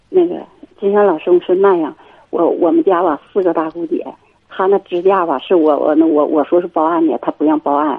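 In an ordinary speaking voice, the speaker talks at a fairly quick pace with ordinary pitch variation. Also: woman, fairly low pitch for a woman. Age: 50s. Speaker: radio call-in caller. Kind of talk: call-in chat about marriage problems.

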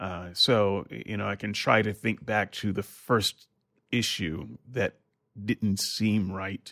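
The recording is very clean and dry, close with no echo and a silent background. A man with a fairly low pitch and vocal fry speaks very slowly. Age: 50s. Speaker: podcast host, former preacher. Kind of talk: casual chat.

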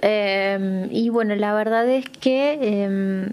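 Her pitch is fairly high, and the woman shows ordinary pitch variation. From Argentina, Santa Fe province. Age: 20s. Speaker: blind guide dog user. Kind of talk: testimony. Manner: hesitant, many fillers.

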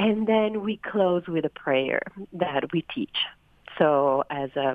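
A woman with an Italian accent speaks with very wide pitch swings. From Italy, Turin. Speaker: a cappella singer. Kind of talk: recorded interview.

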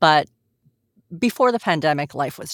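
A woman's very deep, low voice with lively intonation, dry and close with no echo, in a very clean recording against a silent background. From Montreal, Quebec. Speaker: voice actor and sales professional. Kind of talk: casual chat.

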